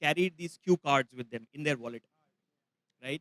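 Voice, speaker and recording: A man speaks at a fairly quick pace with a Marathi accent, his tone bright and sharp. The sound is dry and close with no echo, and his pitch varies in an ordinary way. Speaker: travel expert, workshop presenter. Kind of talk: live masterclass talk. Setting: festival session with audience.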